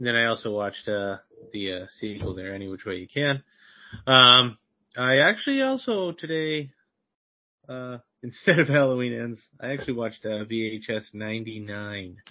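A man speaks at a moderate pace with a medium pitch and ordinary pitch variation. His is a plain, everyday voice, with big swings in loudness. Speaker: podcast co-host. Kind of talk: casual chat.

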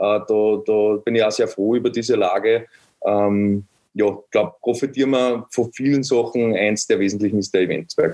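A dark, mellow tone in an Upper Austrian accent, with fairly even intonation and a moderate pace. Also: man, medium pitch for a man. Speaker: construction startup founder. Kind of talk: interview.

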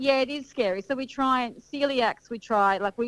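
A woman in an Australian accent speaks with ordinary pitch variation. The recording is very clean with a silent background, dry and close with no echo. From Sydney, Australia. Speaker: wedding caterer. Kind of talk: casual interview.

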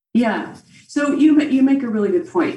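Here a woman speaks with an American accent. Her tone is dark and mellow, and somewhat breathy. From central Illinois, US Midwest. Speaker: dietitian and personal trainer, breast cancer survivor. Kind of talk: interview, informative explanation. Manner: animated.

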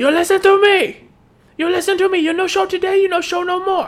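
Someone puts on a character voice at an extremely high pitch and a fairly quick pace. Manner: angry, scolding.

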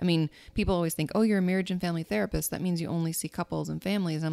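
Fairly low female voice of dark, mellow tone, with a dry, close sound with no echo. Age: 30s. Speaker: therapist. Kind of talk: casual chat.

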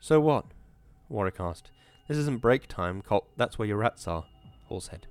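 Lively intonation throughout plain reading aloud

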